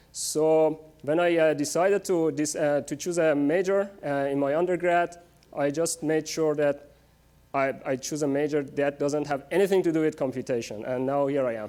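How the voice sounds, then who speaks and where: A man with a Persian accent speaks at a moderate pace in a dark, mellow tone, his fairly high pitch held in a fairly even intonation. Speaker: research scientist. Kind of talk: public lecture. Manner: many fillers, hesitant.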